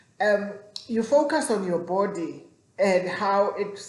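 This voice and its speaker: Over noticeable background noise and audible room echo, a woman speaks at a medium pitch. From South Africa. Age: 40s. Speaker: vlogger. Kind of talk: casual vlog talk. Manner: halting, with repetitions.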